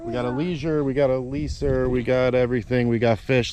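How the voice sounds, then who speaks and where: A man talks at a fairly quick pace with a medium pitch and ordinary pitch variation. Noticeable background noise runs under his voice. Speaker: fishing vlogger. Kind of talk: casual vlog narration. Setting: outdoors on a kayak on a lake.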